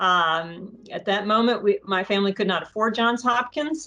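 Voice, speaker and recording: Music plays in the background as a woman talks at a medium pitch. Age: 50s. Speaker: bioengineering researcher and startup advisor. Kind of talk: podcast interview. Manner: halting.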